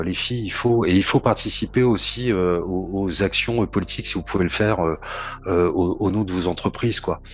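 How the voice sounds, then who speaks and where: Fairly even in intonation, the speech moves along fairly quickly. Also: man. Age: 40s. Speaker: port industry association head. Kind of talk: casual podcast interview. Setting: remote call from home. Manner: halting, repeats words.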